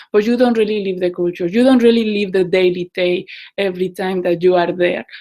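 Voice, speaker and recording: A woman with a Mexican accent and ordinary pitch variation. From Mexico. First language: Spanish. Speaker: community organizer. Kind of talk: casual talk to online group. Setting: video call. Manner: halting.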